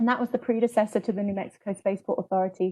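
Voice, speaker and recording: Somewhat breathy, a woman with a British accent speaks at a very fast pace with fairly even intonation. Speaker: public relations coordinator. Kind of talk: presentation on a panel webinar.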